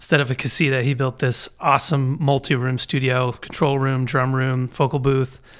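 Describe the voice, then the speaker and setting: A man with an American accent speaks at a medium pitch in a monotone, flat way on a very clean recording with a silent background. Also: moderate pace, hardly any pauses. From Baltimore, US. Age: 40s. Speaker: musician. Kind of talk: casual chat.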